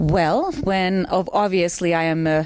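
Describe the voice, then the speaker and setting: A woman with a Finnish accent speaks at a fairly low pitch. Her intonation is fairly even, with noticeable background noise. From Finland. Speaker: mayoral candidate. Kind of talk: interview.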